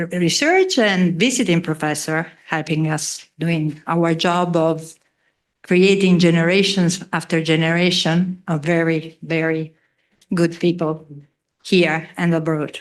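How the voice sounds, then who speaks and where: A woman's fairly low voice at a very slow pace, against a quiet background. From Italy. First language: Italian. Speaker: economics professor. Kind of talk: ceremony speech. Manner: halting.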